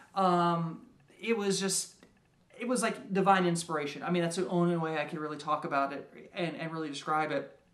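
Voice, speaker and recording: A man's high-pitched voice at a moderate pace, ordinary pitch variation, and audible room echo. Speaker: game designer and writer. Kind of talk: casual monologue. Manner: halting, many fillers and repeats.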